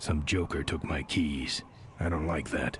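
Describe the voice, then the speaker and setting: A man growls in a put-on character voice with a very deep, low pitch and fairly even intonation. He keeps a moderate pace, and background noise is clearly heard. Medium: video game. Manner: terse, deadpan.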